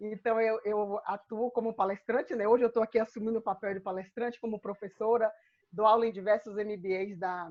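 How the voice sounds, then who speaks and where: In a quiet background, a woman with a Bahian accent speaks at a fairly high pitch. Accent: Bahian accent, drawling. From Bahia, Brazil. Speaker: speaker and coach. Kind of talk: lecture. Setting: video call.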